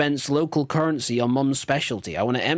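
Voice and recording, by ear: The voice reads aloud. It sounds natural throughout.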